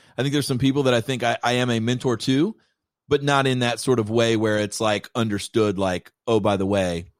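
A man with an unremarkable speaking voice and an American accent, medium in pitch with ordinary pitch variation, talking at a fairly quick pace in a dry, close sound with no echo. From Kentucky, US. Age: 40s. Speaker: creative director and filmmaker. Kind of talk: casual chat.

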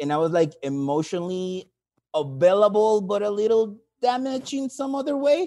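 With a Mexican accent, a man speaks at a moderate pace in a high pitch with a dark, mellow tone and very wide pitch swings. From Mexico. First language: Spanish. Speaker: caller, English teacher. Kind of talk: call-in question. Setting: call.

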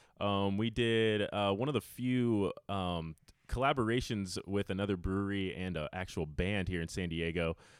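With an unremarkable speaking voice, a man talks in a fairly low pitch at a moderate pace, using ordinary pitch variation. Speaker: brewery representative. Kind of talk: promotional announcement.

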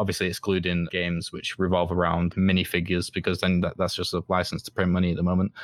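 Very fast speech in a Mancunian accent, with hardly any pauses and monotone, flat intonation. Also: man, very deep, low pitch for a man. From northern England, Manchester. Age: 20s. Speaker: game design student. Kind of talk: casual interview. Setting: remote call.

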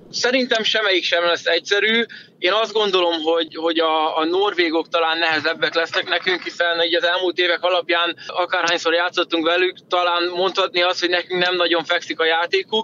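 A man speaks at a fairly quick pace with a high pitch and hardly any pauses. His loudness is very even. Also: fairly even intonation. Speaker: professional handball player. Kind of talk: interview.

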